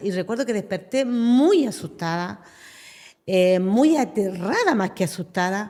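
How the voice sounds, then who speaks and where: A woman talks fairly slowly, her intonation lively, in a plain, everyday voice. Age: 60s. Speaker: pastor. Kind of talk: testimony.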